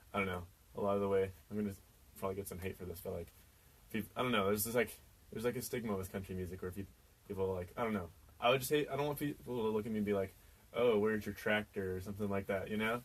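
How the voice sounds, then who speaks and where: A man with an American accent talks at a very fast pace. His pitch is fairly low and his intonation fairly even. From Kansas, US. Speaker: singer-songwriter. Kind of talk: radio interview. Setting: radio studio.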